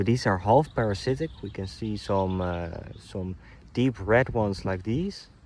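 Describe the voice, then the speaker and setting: A man's fairly low voice with lively intonation at a fairly slow pace. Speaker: nature vlogger. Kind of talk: outdoor walk-and-talk tutorial. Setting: outdoors. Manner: casual, some hesitations.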